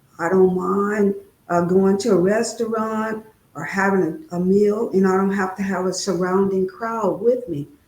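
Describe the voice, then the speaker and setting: A woman with an American accent, medium pitch, fairly even intonation and a moderate pace, amid noticeable background noise and audible room echo. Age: 60s. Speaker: guest speaker on trauma. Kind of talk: interview testimony.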